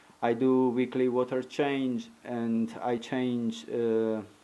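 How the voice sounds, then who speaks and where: A man speaks with a non-native accent. His pitch sits in the medium range. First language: not English. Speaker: aquarium hobbyist. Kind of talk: tutorial. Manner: halting.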